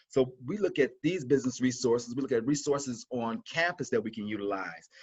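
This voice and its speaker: Speaking at a fairly quick pace, a man uses lively intonation and an animated tone. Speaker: college instructor. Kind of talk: webinar presentation. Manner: fast.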